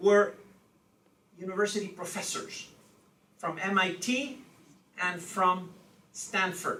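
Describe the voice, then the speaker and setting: A man speaks in a raised, projected voice. The room echo is audible. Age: 60s. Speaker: law professor. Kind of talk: lecture. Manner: frequent filler 'okay'.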